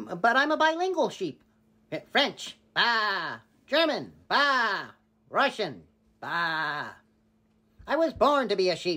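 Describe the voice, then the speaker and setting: A female-sounding, cartoonish character voice pitched fairly high swings very widely in pitch. It moves at a very slow pace with long, frequent pauses. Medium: puppet.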